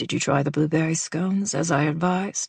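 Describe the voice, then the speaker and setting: Fairly quick put-on character voice pitched in the middle. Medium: read story. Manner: formal, courtly.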